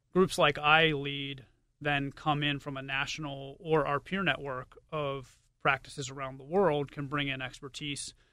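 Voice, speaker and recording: A man with a fairly high pitch speaks fairly slowly in a flat monotone. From Pittsburgh. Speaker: technology consultant. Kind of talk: interview on radio show.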